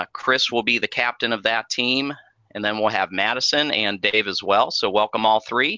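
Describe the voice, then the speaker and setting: At a moderate pace comes a normal speaking voice. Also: man. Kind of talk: game show host, running a theme park Family Feud.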